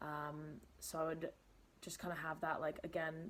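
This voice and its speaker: Very deep, low pitch from a woman at a moderate pace. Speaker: lifestyle vlogger. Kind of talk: casual vlog talk to camera. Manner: unscripted, lots of fillers.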